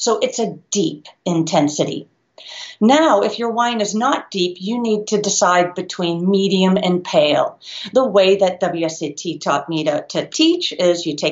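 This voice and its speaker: In a quiet background, a woman's speech comes at a fairly slow pace. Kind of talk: tutorial. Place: home room. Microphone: webcam.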